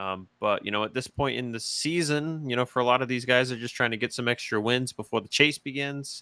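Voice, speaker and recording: Here a man speaks at a moderate pace with a medium pitch and a bright, sharp tone. The very clean recording has a silent background and a dry, close sound with no echo. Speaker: sim racing commentator. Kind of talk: post-race casual chat.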